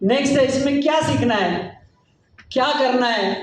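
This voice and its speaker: This man talks with ordinary pitch variation. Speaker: network marketing speaker. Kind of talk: motivational business talk. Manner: animated.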